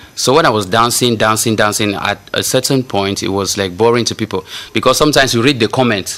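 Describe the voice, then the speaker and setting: In a Cameroonian accent, a man talks at a very fast pace, with medium pitch and ordinary pitch variation. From Cameroon, Yaoundé. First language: local Cameroonian language. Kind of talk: casual chat.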